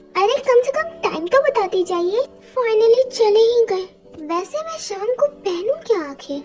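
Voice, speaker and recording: A woman performs a put-on character voice at an extremely high pitch, with very wide pitch swings. She barely pauses as clear music plays in the background. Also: moderate pace. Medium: fan dub. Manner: sassy, argumentative.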